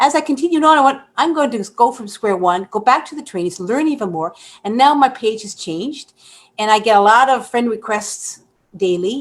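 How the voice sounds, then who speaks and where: A woman speaks in a plain, everyday voice at a fairly high pitch and a moderate pace. Her intonation is lively, and her loudness swings widely. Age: 60s. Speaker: online business program member. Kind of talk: testimony. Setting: live webinar.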